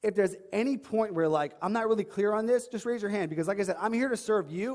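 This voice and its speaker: In an animated tone, a man with an American accent speaks with ordinary pitch variation. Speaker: online fitness coach. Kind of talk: seminar talk. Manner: fast.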